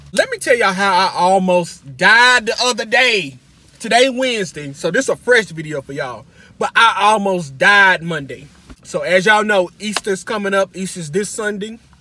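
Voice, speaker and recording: A man's raised, projected voice, bright and sharp, with lively intonation at a moderate pace, dry with no echo, over light background noise. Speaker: vlogger. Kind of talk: casual vlog chat, storytelling. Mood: humorous, dramatic. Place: car. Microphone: phone near.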